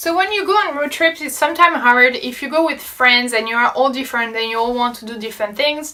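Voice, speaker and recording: A woman with a French accent talks very fast in a high, raised, projected voice, with hardly any pauses. Her intonation is lively, her loudness swings a lot, and noticeable background noise is present. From France. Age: 20s. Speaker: travel vlogger. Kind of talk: casual talk to camera.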